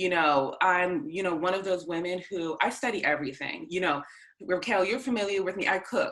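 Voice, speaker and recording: A woman with a Boston accent talks at a fairly quick pace and a medium pitch. Her intonation is lively. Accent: American English, Boston area. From US Northeast, north of Boston, Massachusetts. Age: 30s. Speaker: mother sharing birth story. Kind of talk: interview.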